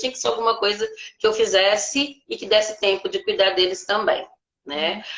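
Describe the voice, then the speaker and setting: A woman's medium-pitched, plain, everyday voice at a moderate pace. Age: 60s. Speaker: retired teacher and private tutor. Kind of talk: live stream interview.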